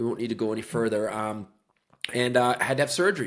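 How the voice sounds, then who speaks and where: A man's medium-pitched voice in a Newfoundland accent. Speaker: real estate agent, former police officer. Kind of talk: podcast interview.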